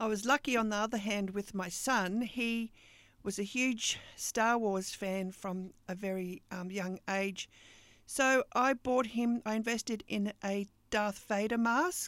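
In an Australian accent, a woman speaks fairly slowly at a fairly high pitch with ordinary pitch variation, on a very clean recording with a silent background. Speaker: podcast host and business coach. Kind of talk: casual monologue.

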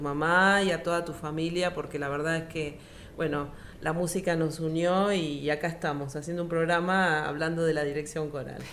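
With audible room echo, a woman talks at a moderate pace in a fairly low, monotone voice with flat intonation. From Argentina, Río Gallegos (Santa Cruz). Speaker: radio host. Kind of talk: radio interview.

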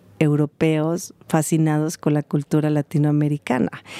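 The tone of this woman's voice is dark and mellow. She talks at a fairly slow pace. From Mexico. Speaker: cultural events organizer. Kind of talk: interview.

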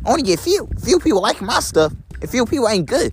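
A man talks in an American accent while music plays behind him. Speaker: vlogger. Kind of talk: casual monologue to followers. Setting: outdoors while walking. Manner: repetitive, rambling.

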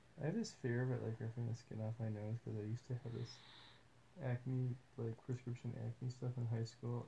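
A man's put-on character voice at a medium pitch, mumbling at a fairly quick pace

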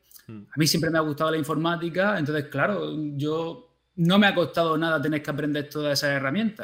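A man with an ordinary speaking voice talks at a fairly quick pace and fairly high pitch, with fairly even intonation and hardly any pauses. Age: 30s. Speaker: primary school teacher. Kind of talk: casual interview chat.

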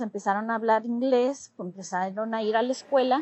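A woman's fairly high voice, a normal speaking voice, with fairly even intonation at a moderate pace. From Chula Vista, San Diego area, US-Mexico border. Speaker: interviewee. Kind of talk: interview.

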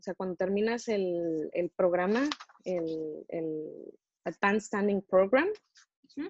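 An unremarkable speaking voice belongs to a woman at a medium pitch, talking at a fairly slow pace with ordinary pitch variation, in a dry, close sound with no echo. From Mexico. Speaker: dentist. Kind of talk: interview.

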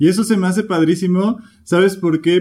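A man speaks fairly slowly in a dark, mellow tone. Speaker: podcast host. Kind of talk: interview.

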